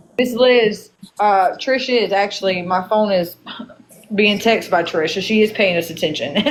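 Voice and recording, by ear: A woman in a northern Louisiana accent, with ordinary pitch variation and noticeable background noise. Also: medium pitch for a woman, moderate pace. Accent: northern Louisiana country.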